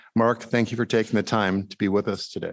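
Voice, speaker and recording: Against a quiet background, a man talks in a normal speaking voice at a fairly low pitch with fairly even intonation. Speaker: club program co-chair. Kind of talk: speaker introduction. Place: hall. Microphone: podium.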